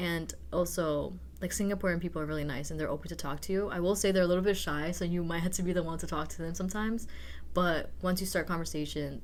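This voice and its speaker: Audible room echo surrounds a woman who talks at a very fast pace. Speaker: exchange student. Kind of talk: podcast interview. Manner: casual, filler-heavy.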